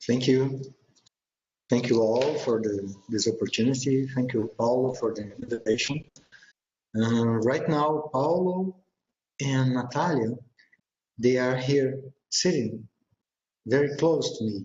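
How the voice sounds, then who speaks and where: Somewhat breathy, a man speaks at a medium pitch with ordinary pitch variation. His pace is fairly slow, with long, frequent pauses. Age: 50s. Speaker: researcher presenter. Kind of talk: presentation. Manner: halting.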